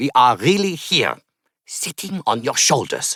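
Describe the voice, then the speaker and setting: This is a put-on character voice in a German accent. The pace is moderate. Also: man, fairly high pitch for a man. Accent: antique German. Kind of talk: storybook-like.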